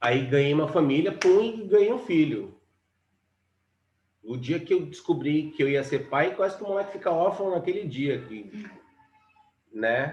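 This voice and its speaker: This man talks at a fairly slow pace in a fairly high pitch, with long, frequent pauses. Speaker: musician. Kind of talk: casual chat. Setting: live stream. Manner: loud.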